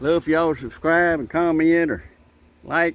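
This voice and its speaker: A man speaks with a Southern US accent. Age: 70s. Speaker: gardening vlogger. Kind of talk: casual vlog talk.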